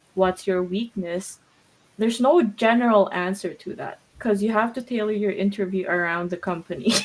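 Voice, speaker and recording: A woman with a non-native accent talks at a moderate pace and medium pitch, with ordinary pitch variation. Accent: noticeable non-native. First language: not English. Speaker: podcast co-host. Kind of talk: casual chat.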